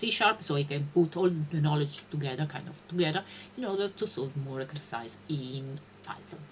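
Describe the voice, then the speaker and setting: The speaker has an Italian accent and lively intonation. Noticeable background noise runs underneath. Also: woman. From Italy. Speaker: streamer learning programming. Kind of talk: live stream chat. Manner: halting, many fillers.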